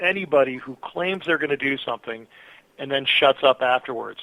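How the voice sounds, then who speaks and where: This man talks at a moderate pace. His pitch is fairly high, with ordinary pitch variation. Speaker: political candidate. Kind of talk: interview. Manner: loud.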